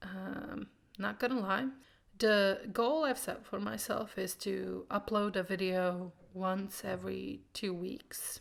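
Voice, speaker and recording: The speaker talks at a very slow pace with a Croatian accent. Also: woman. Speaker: booktuber. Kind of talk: casual vlog monologue.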